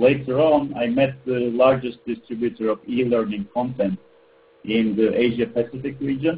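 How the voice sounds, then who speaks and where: A man's medium-pitched voice with a Turkish accent at a moderate pace, with fairly even intonation. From Turkey. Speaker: ed tech entrepreneur. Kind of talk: webinar presentation. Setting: webinar call.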